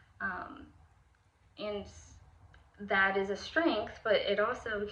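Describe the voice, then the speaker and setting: A woman's medium-pitched voice amid audible room echo. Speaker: student teacher. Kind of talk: spoken assignment monologue. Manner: casual with many fillers.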